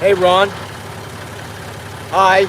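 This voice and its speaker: Loud shouting at a very slow pace, monotone and flat, over noticeable background noise. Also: man. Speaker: outdoor vlogger. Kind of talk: live stream commentary. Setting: outdoors. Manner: loud, yelling.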